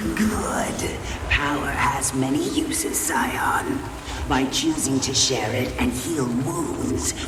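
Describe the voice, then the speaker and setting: A cartoonish character voice moves at a very slow pace. Loud background noise sits behind it. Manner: solemn, measured, stuttering repeats.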